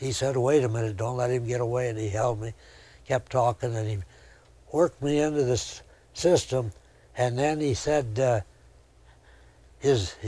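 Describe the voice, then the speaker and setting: A man's dark, mellow, somewhat breathy voice at medium pitch, with an American accent, at a moderate pace, on a very clean recording with a silent background. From US Midwest, Indiana (Elkhart). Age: 80s+. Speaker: storyteller. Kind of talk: interview storytelling. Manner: folksy, conversational.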